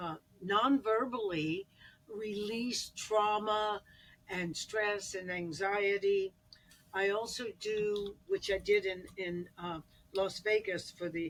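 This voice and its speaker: A woman talks at medium pitch. Her pitch variation is ordinary. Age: 80s+. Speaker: addiction counselor and sound healer. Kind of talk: interview.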